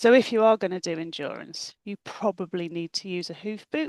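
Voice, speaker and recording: A woman speaks in a plain, everyday voice at a medium pitch. Her pitch varies in an ordinary way, and the sound is dry and close with no echo. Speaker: endurance rider, webinar presenter. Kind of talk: webinar presentation. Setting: video call.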